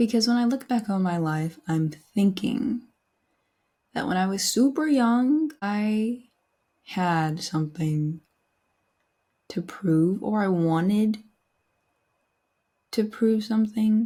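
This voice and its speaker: On a very clean recording with a silent background, a woman speaks at a very slow pace with long, frequent pauses, her somewhat breathy voice fairly high in pitch, with a dark, mellow tone and lively intonation. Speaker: podcast host, aspiring voice actor. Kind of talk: reflective solo monologue. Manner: casual, conversational.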